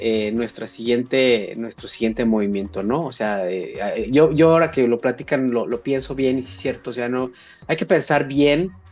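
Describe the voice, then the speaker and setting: Against a quiet background, a man speaks at a moderate pace in a plain, everyday voice, with medium pitch and ordinary pitch variation. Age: 40s. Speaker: professor and researcher. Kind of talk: casual chat.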